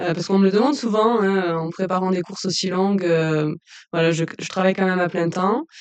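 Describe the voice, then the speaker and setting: With fairly even intonation, the woman talks at a medium pitch. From southern France, Lozère. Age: 20s. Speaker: trail runner. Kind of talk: casual interview. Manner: hesitant, many fillers.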